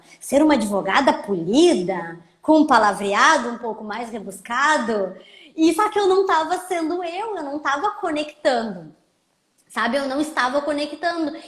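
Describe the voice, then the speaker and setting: A woman with a gaúcho accent speaks at a fairly slow pace. Her high pitch swings very widely. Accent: gaúcho border. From southern Brazil, Rio Grande do Sul border region (Santana do Livramento). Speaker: lawyer and social media educator. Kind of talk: casual live chat. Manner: informal, conversational.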